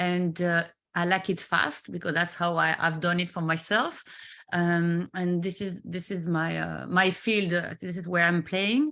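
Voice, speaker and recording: In a very clean recording with a silent background, a woman with a French accent speaks at a fairly slow pace in a fairly low pitch, her bright, sharp tone delivered with monotone, flat intonation. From France. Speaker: business mentor. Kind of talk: interview. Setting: live video stream. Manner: halting, many fillers.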